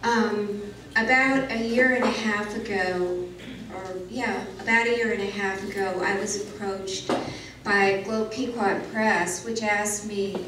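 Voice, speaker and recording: A woman speaks with fairly even intonation, her voice carrying audible room echo over noticeable background noise. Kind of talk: lecture. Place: hall.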